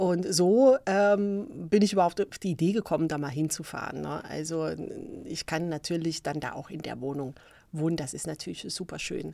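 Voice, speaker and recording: On a very clean recording with a silent background, a woman speaks with a fairly low pitch and a dark, mellow tone. Her loudness swings widely. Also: ordinary pitch variation, moderate pace. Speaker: podcast host. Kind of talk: casual monologue. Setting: home recording, filmed on laptop. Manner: animated, many fillers.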